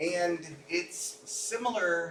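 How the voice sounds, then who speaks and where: A man speaks at a fairly high pitch with ordinary pitch variation. There is noticeable background noise and audible room echo. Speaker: medical lecturer. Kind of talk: lecture. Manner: loud; many filler ums.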